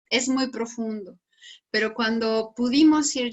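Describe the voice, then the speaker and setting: Fairly slow pace and ordinary pitch variation from a woman. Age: 60s. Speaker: psychologist and researcher. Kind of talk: panel discussion. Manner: halting.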